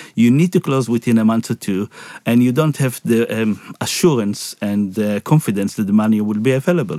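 At a fairly quick pace, a man talks in a medium pitch with a dark, mellow tone and ordinary pitch variation, the sound dry and close with no echo. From Israel. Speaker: property finance CEO. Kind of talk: interview. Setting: studio. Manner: halting, with fillers and repetitions.

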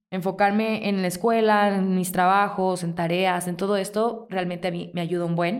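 A woman talks at a moderate pace in a medium pitch. Her intonation is flat and monotone. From Mexico, Mazatlán (Sinaloa). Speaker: podcast host. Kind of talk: casual solo monologue, self-help advice.

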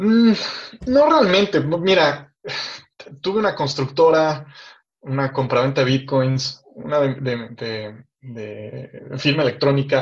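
A man's voice sits fairly high and moves with lively intonation as he talks very slowly. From Mexico City. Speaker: tech startup founder. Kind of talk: interview.

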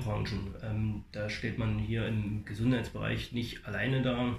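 Noticeable background noise and audible room echo surround the speaker. The delivery is fairly slow, with monotone, flat intonation. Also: man. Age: 40s. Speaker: fitness studio manager. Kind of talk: interview. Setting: fitness studio. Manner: halting, many fillers.

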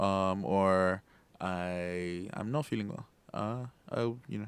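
In a very clean recording with a silent background, a man speaks in a normal speaking voice with a fairly low pitch. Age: 20s. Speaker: software developer and startup founder. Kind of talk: interview. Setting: studio.

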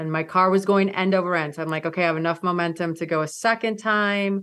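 Against a quiet background, a woman with an Upper Midwest accent speaks at a fairly low pitch in a monotone, flat intonation. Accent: Upper Midwest American. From Michigan. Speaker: mountaineer. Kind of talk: interview storytelling.

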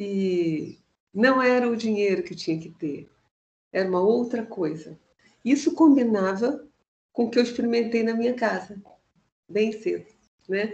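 A woman's fairly high, somewhat breathy voice, lively in intonation, at a fairly slow pace with long, frequent pauses. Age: 60s. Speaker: music educator. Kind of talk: online panel conversation; guided meditation.

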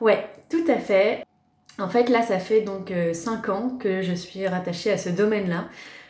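Speaking at a medium pitch and a very slow pace, a woman lets her pitch vary in an ordinary way. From Paris, France. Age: 30s. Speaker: press officer. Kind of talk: podcast interview.

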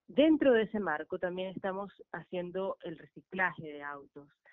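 A woman speaks at a moderate pace in a normal speaking voice. Her pitch sits in the medium range. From Venezuela. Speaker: artist and recycling project founder. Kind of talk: radio interview.

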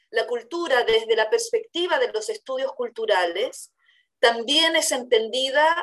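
The woman speaks at a very slow pace. Her high voice makes very wide pitch swings. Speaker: university professor and radio host. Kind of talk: educational discussion. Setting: virtual recording.

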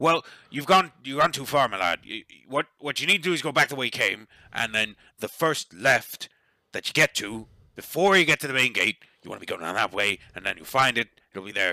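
This man puts on a raspy character voice at a medium pitch. He talks at a fairly quick pace. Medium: actual play. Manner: gruff, folksy.

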